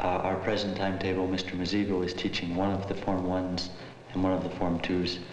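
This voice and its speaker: Amid light background noise and audible room echo, a man speaks in a very deep, low voice. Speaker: volunteer science teacher. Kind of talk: documentary narration, interview-style reflection.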